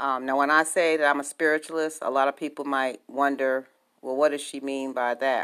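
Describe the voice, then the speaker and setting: With an American accent, a woman speaks at a very deep, low pitch and a fairly quick pace. The recording is very clean, with a silent background. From New York City. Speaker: spiritualist. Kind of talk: personal introduction monologue. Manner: hesitant, many fillers.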